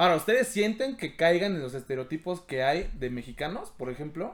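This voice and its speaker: A man talks at a moderate pace, his pitch fairly high. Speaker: podcast host. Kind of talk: casual chat.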